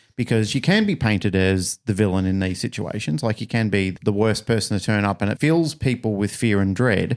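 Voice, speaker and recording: A man with an Australian accent at a fairly quick pace, in a very clean recording with a silent background. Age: 50s. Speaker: podcast host and dog trainer. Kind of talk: casual interview.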